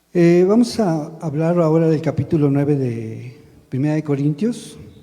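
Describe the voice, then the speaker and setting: Soft-spoken and somewhat breathy, a man talks in a dark, mellow tone. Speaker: lay preacher and church drummer. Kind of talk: sermon. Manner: halting.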